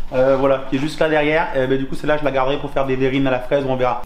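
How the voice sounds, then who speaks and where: Audible room echo around a man talking, plus noticeable background noise. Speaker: home cook video host. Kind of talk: cooking tutorial.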